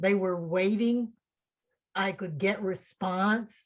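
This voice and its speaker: A woman's medium-pitched voice, somewhat breathy, shows ordinary pitch variation. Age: 70s. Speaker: writer. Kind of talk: casual chat. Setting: video call. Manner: animated.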